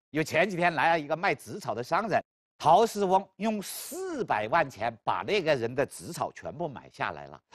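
A man with a fairly high pitch speaks at a moderate pace, with vocal fry, very wide pitch swings and big swings in loudness. The background is quiet. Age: 50s. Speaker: law professor. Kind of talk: lecture.

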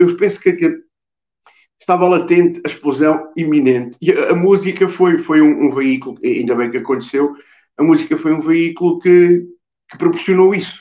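A man with a central Portuguese accent speaks at a moderate pace in a high voice with a dark, mellow tone. His pitch varies in an ordinary way, and the background is quiet. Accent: European Portuguese, Coimbra. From Coimbra, Portugal. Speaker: musician, drummer. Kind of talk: interview answer. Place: home room. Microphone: video call.

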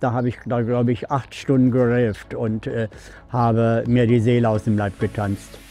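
A man speaks at a moderate pace in a flat monotone. The sound is dry with no echo, and music plays in the background. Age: 70s. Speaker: interviewee. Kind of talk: interview answer. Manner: casual, hesitant with fillers. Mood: cheerful, warm, reflective.

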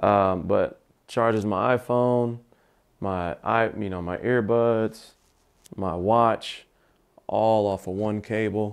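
At a very slow pace with long, frequent pauses, a man talks in a fairly low pitch with fairly even intonation. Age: 30s. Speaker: tech YouTuber. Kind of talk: product tour video. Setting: home office. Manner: casual, filler-heavy.

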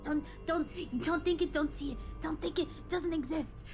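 A woman's put-on character voice at a moderate pace, with clear music in the background. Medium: actual play. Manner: friendly, then panicked and self-soothing.

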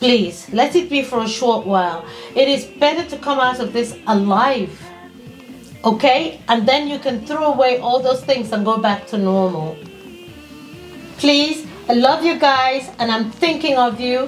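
Faint music sits in the background as a woman speaks at a high pitch and a fairly slow pace. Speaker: vlogger. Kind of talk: casual vlog chat. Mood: earnest, pleading, warm. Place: home room.

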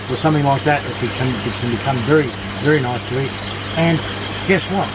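A man rattles off words at a very fast pace while loud background noise fills the clip. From Australia. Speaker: aquaponics farmer and teacher. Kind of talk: guided walking tour. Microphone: phone near.

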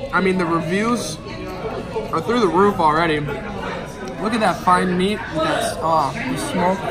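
Over music in the background, a man talks at a fairly slow pace with ordinary pitch variation. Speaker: food reviewer. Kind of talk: casual food review vlog. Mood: enthusiastic, delighted. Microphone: phone near.

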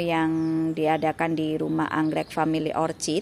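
Someone speaks at a fairly slow pace over light background noise. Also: woman. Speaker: orchid seller. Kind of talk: sales pitch. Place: garden. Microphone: phone near.

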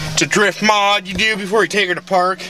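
A man's raised, projected voice at a moderate pace, dry with no echo, clear music behind him. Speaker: friend hosting a joke segment. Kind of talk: casual vlog chat. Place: car.

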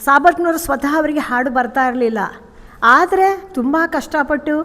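Her voice sits high for a woman, and its pitch moves in an ordinary way. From north Karnataka, Vijayapura. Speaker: bhajan group member. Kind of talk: testimony.

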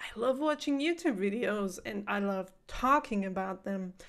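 A woman with a non-native accent at a fairly slow pace, ordinary pitch variation, and a quiet background. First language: not English. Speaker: reaction video host. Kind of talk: casual talk to camera. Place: home room. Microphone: studio mic.

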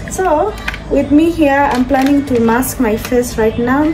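A high-pitched woman's voice at a very slow pace over clear background music. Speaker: vlogger. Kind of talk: casual vlog chat. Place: kitchen. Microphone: phone near.

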